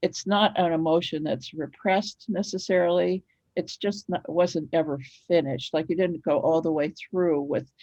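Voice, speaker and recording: Dark and mellow, this woman's fairly low voice has an American accent and ordinary pitch variation. She keeps a moderate pace, and the sound is dry and close with no echo. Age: 70s. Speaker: author. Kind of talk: interview.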